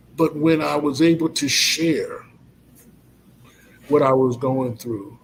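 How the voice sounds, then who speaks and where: Very slow, fairly high-pitched speech from a man, broken by long, frequent pauses, over noticeable background noise. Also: fairly even intonation. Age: 50s. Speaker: college president. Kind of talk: testimony.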